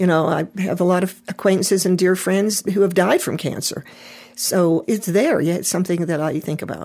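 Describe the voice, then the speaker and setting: In an American accent, a woman of medium pitch speaks with fairly even intonation and a dark, mellow tone. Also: moderate pace. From US, Pittsburgh. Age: 70s. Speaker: lung cancer survivor, sculptor. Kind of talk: interview.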